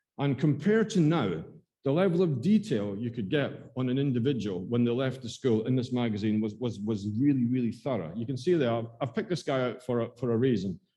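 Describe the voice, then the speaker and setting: A man's dark, mellow voice in an Aberdeen accent, medium in pitch, at a fairly quick pace with lively intonation. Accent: Scottish (Aberdeen). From Scotland, Aberdeen. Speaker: school archivist and librarian. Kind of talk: talk to a local society. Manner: hesitant, many fillers and repetitions.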